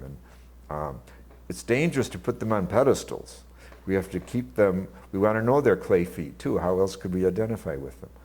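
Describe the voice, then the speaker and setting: With a very deep, low pitch and vocal fry, a man speaks at a moderate pace. His intonation is lively. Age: 70s. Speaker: theologian and author. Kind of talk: interview. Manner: halting.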